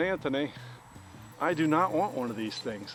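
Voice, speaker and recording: Music plays in the background as a man speaks. His pace is moderate and his intonation lively. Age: 60s. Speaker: RC plane hobbyist vlogger. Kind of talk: casual vlog chat while flying. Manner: halting, many fillers and repeats.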